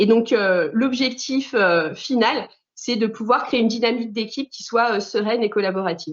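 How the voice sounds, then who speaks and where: Her pitch fairly high with ordinary variation, a woman speaks at a moderate pace. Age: 40s. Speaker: management trainer. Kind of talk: interview. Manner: hesitant, many fillers.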